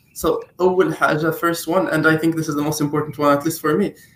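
A man talks very fast in a fairly high pitch with a bright, sharp tone. His intonation is monotone and flat. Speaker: competitive programmer, two-time national champion. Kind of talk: interview.

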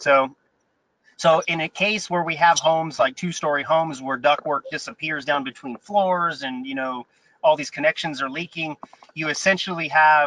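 This man's voice has a bright, sharp tone and a fairly high pitch. He speaks at a moderate pace. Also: dry, close sound with no echo. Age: 40s. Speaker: HVAC trainer and business owner. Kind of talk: interview conversation.

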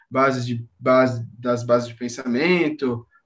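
A man's normal speaking voice at medium pitch and a fairly slow pace. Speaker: former Waldorf student, university student. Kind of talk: casual chat.

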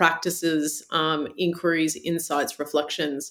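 With an Australian accent, a woman speaks at a fairly low pitch in a monotone, flat manner. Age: 40s. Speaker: meditation teacher. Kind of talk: interview conversation.

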